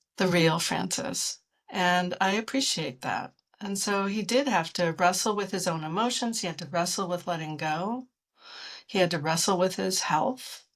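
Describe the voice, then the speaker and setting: The recording is very clean, with a silent background. A woman speaks at a medium pitch and a moderate pace, with ordinary pitch variation. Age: 60s. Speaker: author and scholar interviewed about a medieval poem. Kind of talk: interview. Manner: thoughtful, with frequent hesitations.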